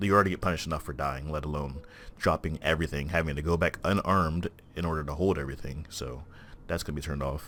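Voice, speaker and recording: A quiet man's very deep, low voice with vocal fry, fairly even intonation and a very fast pace. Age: 20s. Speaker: gaming youtuber. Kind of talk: gameplay commentary. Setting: recording at home at night. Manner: hesitant, many fillers.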